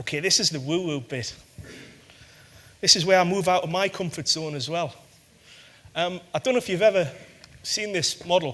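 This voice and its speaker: A high-pitched man with a northeast English accent, moderate pace, ordinary pitch variation and long, frequent pauses. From northeast England. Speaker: corporate sustainability head. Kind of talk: conference talk. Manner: halting, many fillers.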